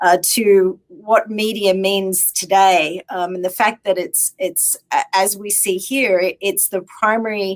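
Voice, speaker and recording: Speaking with an Australian accent, a woman moves at a very slow pace with fairly even intonation and hardly any pauses. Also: medium pitch for a woman. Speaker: technology executive. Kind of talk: interview. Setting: live stream.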